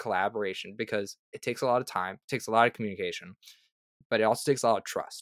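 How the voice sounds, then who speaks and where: In a very clean recording with a silent background, a man speaks at a very fast pace with ordinary pitch variation. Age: young. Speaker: tabletop RPG freelance writer and content creator. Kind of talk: casual interview chat.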